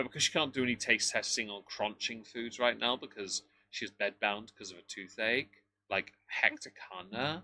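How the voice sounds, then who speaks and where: A man speaks in a southern English accent. His tone is bright and sharp. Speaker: livestream commentator. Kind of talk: casual livestream chat. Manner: animated.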